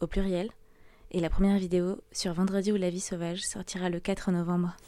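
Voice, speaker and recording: A woman speaks in a dark, mellow tone. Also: very clean recording, silent background. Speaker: podcast host. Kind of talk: interview. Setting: media library room.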